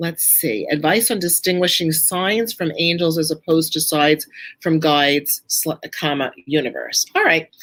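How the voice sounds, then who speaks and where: A woman with a very deep, low pitch and a Brooklyn accent, at a moderate pace with ordinary pitch variation. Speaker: author and angel teacher. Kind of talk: live Q&A talk. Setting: live stream presentation.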